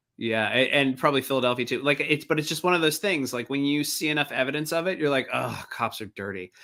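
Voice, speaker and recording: Very fast and with hardly any pauses, a man speaks in a bright, sharp tone at a fairly high pitch. Pitch variation is ordinary, and the recording is very clean with a silent background. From Baltimore, Maryland. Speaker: comedian and columnist. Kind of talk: casual chat.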